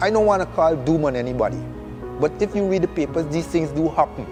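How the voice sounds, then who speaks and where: Music plays in the background. Over it, a man is speaking. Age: 70s. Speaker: retired telecom manager. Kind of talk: interview answer.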